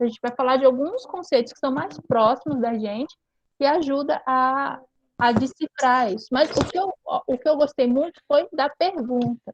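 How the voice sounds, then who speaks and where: The sound is dry and close, with no echo. The speaker keeps a moderate pace and ordinary pitch variation. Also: woman. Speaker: high school teacher. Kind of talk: online class.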